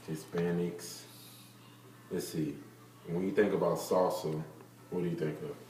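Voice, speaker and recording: A man's very deep, low voice at a moderate pace, with long, frequent pauses and audible room echo. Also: ordinary pitch variation. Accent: American. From US South, Marietta, Georgia. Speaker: interviewee. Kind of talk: interview.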